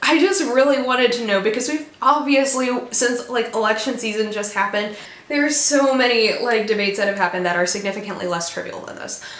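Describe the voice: In a put-on character voice with a Virginia accent, a woman rattles along at a very fast pace, raspy and high-pitched, with lively intonation and audible echo. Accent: soft Virginia.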